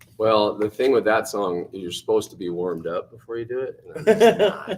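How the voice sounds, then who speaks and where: Against noticeable background noise, a man speaks at a fairly quick pace. His loudness swings widely. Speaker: rock band singer. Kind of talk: casual interview chat. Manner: animated.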